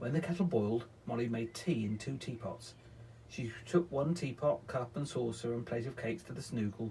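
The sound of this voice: The clip features an unforced reading voice.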